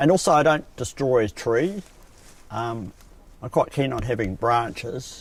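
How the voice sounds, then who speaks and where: A man with a New Zealand accent speaks at a medium pitch, his intonation lively and broken by long, frequent pauses. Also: fairly slow pace. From New Zealand, South Canterbury. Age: 60s. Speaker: coffin maker. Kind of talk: documentary interview. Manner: hesitant, with many fillers.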